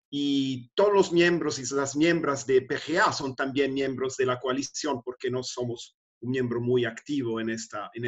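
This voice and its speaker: At a fairly slow pace, a man with a non-native accent speaks at a medium pitch with ordinary pitch variation. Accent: non-native Spanish speaker. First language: not Spanish (speaking Spanish). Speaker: NGO secretary general. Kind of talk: webinar remarks. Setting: video call. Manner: halting.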